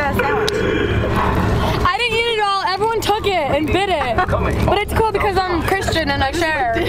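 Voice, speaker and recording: With crowd noise behind it, the voice goes along at a moderate pace. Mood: giggly, playful. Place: bus. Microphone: phone near.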